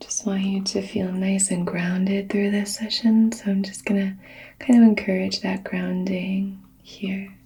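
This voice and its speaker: A soft-spoken woman with a gentle tone and medium pitch speaks at a fairly slow pace in monotone, flat intonation, with noticeable background noise. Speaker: reiki practitioner ASMR creator. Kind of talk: reiki healing session, personal attention roleplay. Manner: soft-spoken, gentle, supportive.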